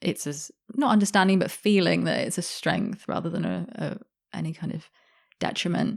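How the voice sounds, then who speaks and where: With a British accent, a woman speaks at a moderate pace. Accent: sounds very British. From Australia, Sydney. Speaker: journalist and author. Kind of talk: interview conversation.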